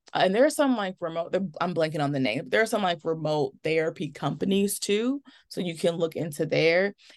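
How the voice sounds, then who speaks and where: A woman's normal speaking voice, fairly low in pitch, with lively intonation, a fairly quick pace and hardly any pauses, over a quiet background. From US Midwest, Milwaukee, Wisconsin. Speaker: remote social worker. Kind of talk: casual interview.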